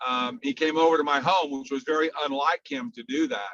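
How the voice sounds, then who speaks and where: A man with a fairly high pitch and a bright, sharp tone speaks at a fairly slow pace with ordinary pitch variation, the sound dry and close with no echo. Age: 60s. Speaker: network marketing distributor, ex-stockbroker. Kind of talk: testimony. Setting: phone call.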